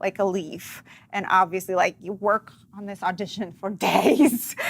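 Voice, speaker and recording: A woman's medium-pitched voice in a slight Russian accent, fairly slow, with ordinary pitch variation and big swings in loudness. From Russia, Dzerzhinsk. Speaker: actress and comedian. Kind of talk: casual interview chat.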